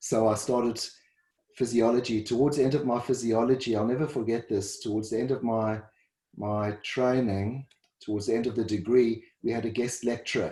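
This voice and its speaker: A somewhat breathy, medium-pitched man's voice with a South African accent, monotone and flat in intonation, at a moderate pace. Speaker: dietitian and first responder. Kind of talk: interview. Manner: halting, repeats words.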